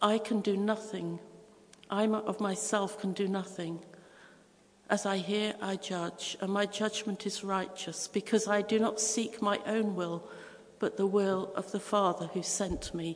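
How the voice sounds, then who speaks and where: Amid noticeable background noise and audible room echo, a woman speaks at medium pitch and a fairly slow pace. Her intonation is monotone and flat. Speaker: preacher. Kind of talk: sermon.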